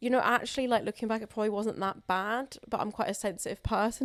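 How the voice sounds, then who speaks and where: Very fast speech from a woman with a Southern English accent, pitched fairly high. The recording is very clean, the background silent. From southern England (Wimbledon, London). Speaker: comedian. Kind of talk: casual chat. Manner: expressive.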